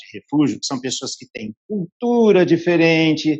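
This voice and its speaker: Here a man uses a plain, everyday voice. His intonation is lively, and his pace is fairly slow. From Porto Alegre, southern Brazil. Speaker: coach and organizational mediator. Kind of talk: interview answer.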